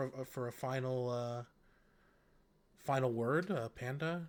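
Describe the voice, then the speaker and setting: Medium in pitch with fairly even intonation, a man talks in a plain, everyday voice. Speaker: esports caster. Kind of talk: live commentary.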